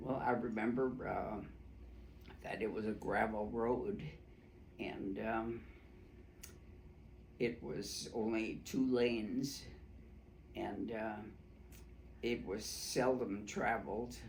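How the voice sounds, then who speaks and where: Very slowly and with long, frequent pauses, a man at a medium pitch speaks with vocal fry and ordinary pitch variation, his voice carrying audible room echo. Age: 90s. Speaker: oral history interviewee. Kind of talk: oral history interview. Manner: halting, many fillers.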